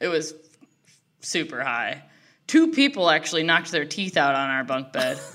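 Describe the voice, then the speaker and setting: A woman speaks loudly at a moderate pace in a Midwestern US accent, leaving long, frequent pauses. Her tone is bright and sharp, her pitch very deep and low, with ordinary variation. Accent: US Midwest. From Ohio, Cleveland. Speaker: comedian. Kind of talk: casual chat.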